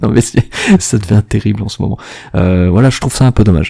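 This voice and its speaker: His pitch is fairly low for a man. He speaks at a fairly quick pace. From Marseille, southern France. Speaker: gaming podcast co-host. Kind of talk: casual chat. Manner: hesitant, many fillers.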